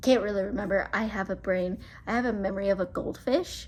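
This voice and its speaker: A woman's ordinary speaking voice, medium in pitch, at a moderate pace and with fairly even intonation. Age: 20s. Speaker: YouTuber and hairstylist. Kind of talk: casual chat. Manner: casual, filler-heavy.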